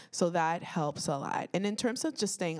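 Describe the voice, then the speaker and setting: With a Toronto accent, a woman speaks at a moderate pace in a fairly low pitch, with ordinary pitch variation. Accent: Canadian, Toronto. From Toronto, Canada (Etobicoke). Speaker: children's author and teacher. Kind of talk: panel discussion.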